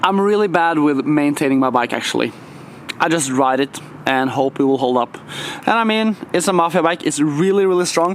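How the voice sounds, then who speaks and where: Lively in intonation but very even in loudness, a man with a non-native accent speaks at a fairly quick pace. His pitch is fairly high, and noticeable background noise can be heard. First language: not English. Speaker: BMX rider and YouTuber. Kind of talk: casual vlog talk to camera. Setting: skatepark. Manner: casual, filler-heavy.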